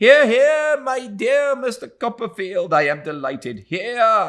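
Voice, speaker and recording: A man puts on a character voice that is shrill and extremely high-pitched. He speaks at a fairly slow pace. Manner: excited, delighted.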